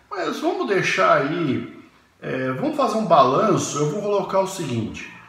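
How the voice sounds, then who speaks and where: A man's high-pitched voice with very wide pitch swings, audible room echo and noticeable background noise. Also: fairly slow pace. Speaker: university professor. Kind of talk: educational talk. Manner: halting.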